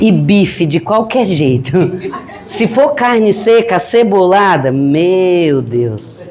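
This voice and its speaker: A woman speaks very slowly at a medium pitch, her pitch swinging very widely while her loudness stays very even. Audible room echo and noticeable background noise fill the recording. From Northeast Brazil, Piauí. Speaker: grief counselor and spiritist lecturer. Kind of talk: lecture. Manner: animated, joking.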